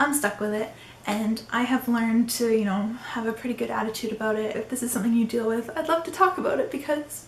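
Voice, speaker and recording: The voice is shaky and fairly quick, with ordinary pitch variation over noticeable background noise. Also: woman. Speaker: YouTuber. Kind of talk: casual talk to camera. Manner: trembling, sounds like crying.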